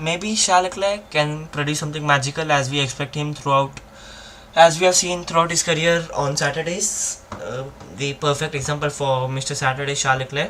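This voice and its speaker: This man's pitch sits fairly high and varies in an ordinary way. He talks at a fairly quick pace with noticeable background noise behind him. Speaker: F1 watchalong streamer. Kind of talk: live commentary. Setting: live stream. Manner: halting, fumbling.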